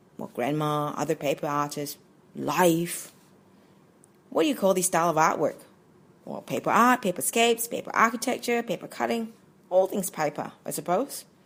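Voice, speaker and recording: A woman speaks in a fairly low pitch at a moderate pace, with very wide pitch swings. She leaves long, frequent pauses. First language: Chinese. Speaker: paper artist. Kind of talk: presentation talk.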